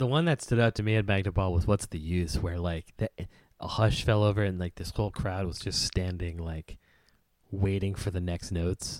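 In a very clean recording with a silent background and a dry, close sound free of echo, a man with a very deep, low pitch speaks at a moderate pace with ordinary pitch variation. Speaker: podcast co-host. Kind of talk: casual chat. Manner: animated, laughs often.

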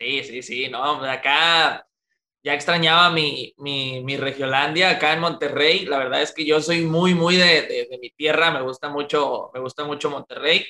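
This man has a normal speaking voice with a fairly high pitch, fairly even intonation and a fairly slow pace. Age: 20s. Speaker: freestyle rapper. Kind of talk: interview.

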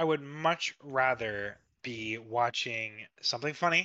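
This man has a medium-pitched voice with a bright, sharp tone and ordinary pitch variation. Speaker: podcast co-host. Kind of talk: casual chat.

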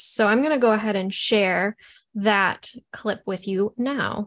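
Against a quiet background, a woman with an ordinary speaking voice talks at a fairly slow pace, with a fairly high pitch and ordinary pitch variation. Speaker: podcast co-host. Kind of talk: casual chat.

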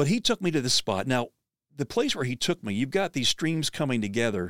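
A man with a medium pitch and very wide pitch swings is heard on a very clean recording with a silent background and a dry, close sound with no echo. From Pennsylvania. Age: 60s. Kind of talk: inspirational storytelling. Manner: animated.

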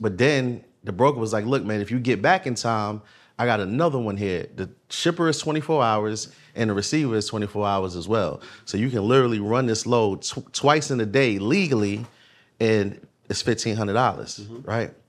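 A man with a normal speaking voice talks at a medium pitch and moderate pace, with ordinary pitch variation, on a very clean recording with a silent background. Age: 30s. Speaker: trucking dispatch course entrepreneur. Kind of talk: casual chat.

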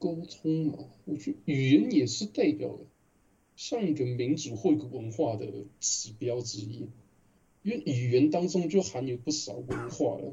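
A man speaks at a fairly slow pace with lively intonation and a somewhat breathy sound. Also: medium pitch for a man. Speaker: translator and podcast co-host. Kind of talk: casual chat.

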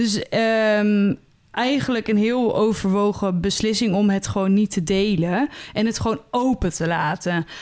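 A woman with an unremarkable speaking voice and medium pitch talks at a fairly slow pace with ordinary pitch variation and very even loudness, in a very clean recording with a silent background. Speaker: podcast co-host. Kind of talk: casual chat.

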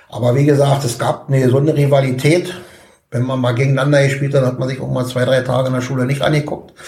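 A man at a very fast pace and medium pitch, with audible room echo. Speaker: football coach. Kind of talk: casual interview. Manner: hesitant with fillers.

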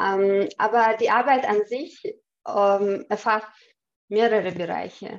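Speaking very slowly with a Chechen accent, a woman uses a fairly high pitch and ordinary pitch variation. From Chechnya. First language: Chechen (speaking German). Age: 30s. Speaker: cyber security engineer. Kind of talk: interview. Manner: hesitant, many fillers.

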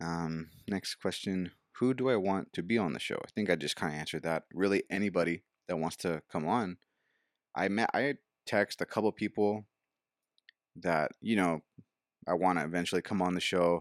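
The speech moves at a moderate pace with ordinary pitch variation and long, frequent pauses, in a dry, close sound with no echo. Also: man, very deep, low pitch for a man. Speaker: podcast host. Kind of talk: casual chat. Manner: casual, rambling, excitable.

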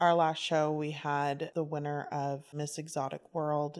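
A woman's very deep, low voice at a fairly slow pace, in a very clean recording with a silent background. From southern New Mexico. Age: 30s. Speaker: burlesque dancer and troupe founder. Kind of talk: casual chat. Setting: at home.

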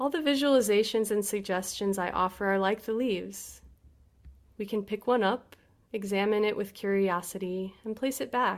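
A woman's normal speaking voice at a medium pitch, with ordinary pitch variation. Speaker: meditation teacher. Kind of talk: guided meditation. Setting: video call. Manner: slow, calm, soothing; gentle, unhurried with long pauses.

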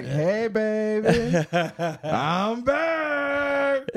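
A put-on character voice with a fairly high pitch swings very widely in pitch over light background noise. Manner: mocking, smug, sarcastic.

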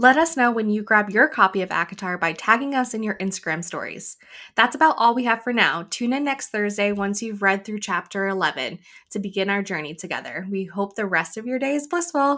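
Her tone bright and sharp, a woman talks at a fairly quick pace with a fairly high pitch and lively intonation. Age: 30s. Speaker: book podcast co-host. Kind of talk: casual chat.

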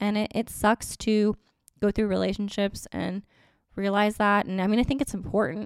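A woman talks at a moderate pace in an ordinary speaking voice, medium in pitch with fairly even intonation. The very clean recording has a silent background and a dry, close sound with no echo. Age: 30s. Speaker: podcast host. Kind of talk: solo casual monologue. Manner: laughs often.

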